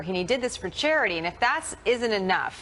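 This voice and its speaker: Noticeable background noise sits behind a woman who speaks at a moderate pace with lively intonation. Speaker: TV news anchor. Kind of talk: TV news interview.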